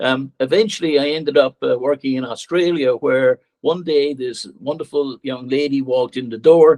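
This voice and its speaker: Using an Irish accent, a man with a fairly high voice talks at a moderate pace with ordinary pitch variation and hardly any pauses. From Ireland. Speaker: political candidate. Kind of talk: campaign speech.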